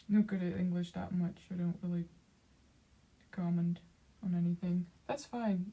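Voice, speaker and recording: A woman's somewhat breathy, dark, mellow voice at medium pitch, in monotone, flat intonation. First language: Dutch. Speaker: streamer, artist. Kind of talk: casual chat. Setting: livestream. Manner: halting, many fillers.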